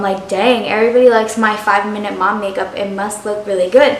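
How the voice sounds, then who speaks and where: A woman's fairly high voice at a very fast pace, with audible room echo and noticeable background noise. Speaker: lifestyle vlogger, stay-at-home mom. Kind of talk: casual vlog tutorial.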